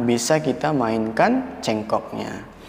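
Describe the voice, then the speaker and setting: A man speaks in a calm tone. There is noticeable background noise. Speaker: adzan tutor. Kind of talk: adzan tutorial for beginners. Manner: calm, explanatory teaching tone.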